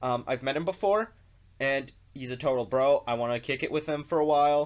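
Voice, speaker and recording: With an American accent, a man with an ordinary speaking voice talks at a fairly quick pace, his fairly high pitch showing ordinary variation. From North America. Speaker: video blogger. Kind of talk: casual vlog monologue.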